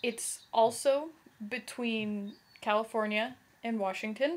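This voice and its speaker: A woman at a fairly high pitch with ordinary pitch variation. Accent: American. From US West Coast, Oregon. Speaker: vlogger. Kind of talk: casual vlog, answering a voice meme questionnaire.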